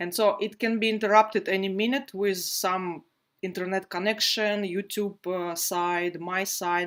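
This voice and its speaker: A woman at medium pitch with a non-native accent, fairly slow, with fairly even intonation. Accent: non-native English, noted by self. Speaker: felting teacher. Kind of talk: live online workshop tutorial. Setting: livestream video broadcast. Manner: frequent hesitations (uh, um).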